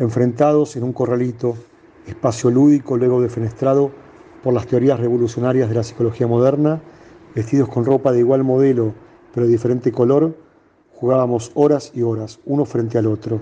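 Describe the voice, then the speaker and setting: A man speaks at a medium pitch and a fairly quick pace. His intonation stays flat and monotone. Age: 50s. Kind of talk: reading aloud.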